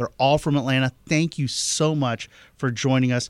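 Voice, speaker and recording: A man with an ordinary speaking voice and medium pitch talks at a fairly slow pace in a very clean recording with a silent background. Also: dry, close sound with no echo. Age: 40s. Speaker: politics reporter. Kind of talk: pledge drive appeal.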